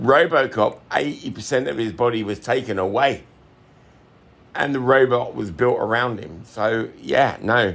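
Using vocal fry, a man speaks at a very slow pace and medium pitch with ordinary pitch variation. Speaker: listener participant. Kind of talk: casual chat.

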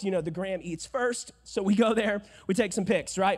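A man speaks in an animated tone. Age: 20s. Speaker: preacher. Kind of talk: sermon. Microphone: echo on mic.

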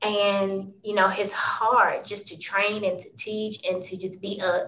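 A woman at a medium pitch and a fairly slow pace. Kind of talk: casual interview conversation.

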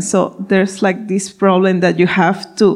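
A medium-pitched female voice with a Spanish accent. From Ecuador. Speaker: food startup CEO. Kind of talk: live panel interview. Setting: stage with audience.

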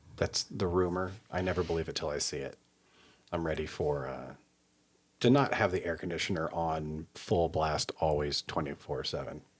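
A man with an American accent, very deep low pitch, vocal fry, ordinary pitch variation and a moderate pace. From US Midwest, Kansas City area. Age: 40s. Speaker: podcast host. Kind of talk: casual chat.

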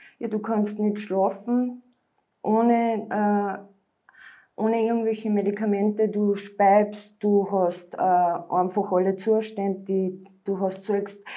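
A woman speaks at a very slow pace and medium pitch. Her tone is dark and mellow, and her intonation is monotone and flat. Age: 40s. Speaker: former drug addict. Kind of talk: interview testimony.

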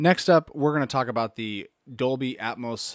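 A man talks fairly slowly in an ordinary speaking voice, his pitch varying in an ordinary way. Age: 30s. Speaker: tech podcast host. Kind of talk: solo podcast commentary.

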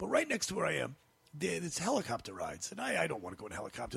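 A man speaks at a very fast pace. Noticeable background noise can be heard. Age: 50s. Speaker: stand-up comedian. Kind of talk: casual chat. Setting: studio. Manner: loud.

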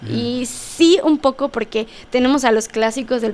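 There is noticeable background noise in this clip. Through it, a woman talks. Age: 20s. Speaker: political science graduate. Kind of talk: casual interview.

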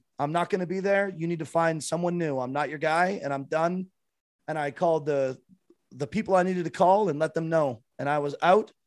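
An unremarkable speaking voice with a Canadian accent, a fairly quick pace and ordinary pitch variation. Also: man, fairly high pitch for a man. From Canada. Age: 30s. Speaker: streamer and former musician. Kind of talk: casual chat.

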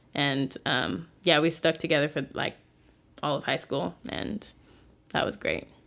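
A woman's very deep, low voice with an American accent and vocal fry, at a fairly slow pace with very wide pitch swings and long, frequent pauses, on a very clean recording with a silent background. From Chicago area, US Midwest. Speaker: college student. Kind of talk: casual interview, telling her story.

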